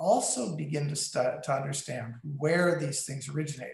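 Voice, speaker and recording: This man has a normal speaking voice with an American accent. His pitch is fairly high, with ordinary pitch variation. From US Midwest and West, military family. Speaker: meteorite curator and Jesuit brother. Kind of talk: interview on a video call. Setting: video call.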